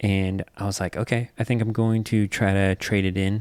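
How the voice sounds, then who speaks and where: A soft-spoken man's fairly low voice at a moderate pace, monotone and flat, with a dry, close sound and no echo. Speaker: podcast host. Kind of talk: casual storytelling chat. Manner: quiet, soft-spoken.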